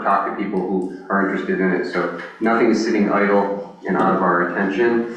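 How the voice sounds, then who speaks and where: A man's monotone, flat delivery amid audible room echo and noticeable background noise. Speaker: land bank director presenting to board. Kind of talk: board meeting report. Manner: fast.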